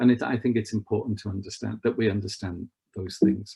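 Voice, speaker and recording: With a Liverpool accent, a man speaks in a fairly low, somewhat breathy voice at a moderate pace, his intonation fairly even. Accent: Scouse. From northern England, Merseyside. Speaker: travel expert. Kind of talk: online presentation with slides. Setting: online video event. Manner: conversational, with frequent fillers.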